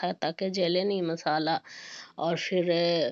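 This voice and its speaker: A woman talks in a fairly low pitch. Her voice carries vocal fry. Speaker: vlogger, homemaker. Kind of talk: casual vlog narration. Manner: hesitant, many fillers.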